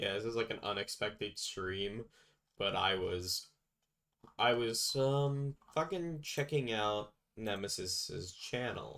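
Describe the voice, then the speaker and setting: Very slow speech with lively intonation. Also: man, medium pitch for a man. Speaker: streamer. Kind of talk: casual chat. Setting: live stream. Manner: low energy.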